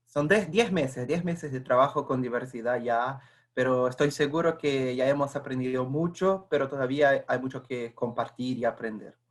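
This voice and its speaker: A Portuguese accent at a moderate pace, with ordinary pitch variation and hardly any pauses. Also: man, medium pitch for a man. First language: Portuguese (speaking Spanish). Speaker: corporate internal communications staffer. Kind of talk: webinar presentation.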